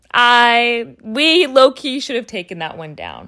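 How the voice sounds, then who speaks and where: A woman with a fairly high pitch speaks in an animated tone on a very clean recording with a silent background. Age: 20s. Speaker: podcast host. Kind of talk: solo podcast monologue. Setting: at home in her room. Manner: animated, frequent laughter.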